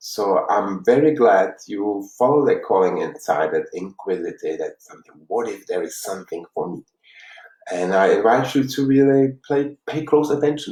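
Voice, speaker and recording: The man's loudness shifts in big swings. His pace stays moderate. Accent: Czech. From Czech Republic, Prague. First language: Czech. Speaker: life coach. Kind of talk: workshop talk. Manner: halting.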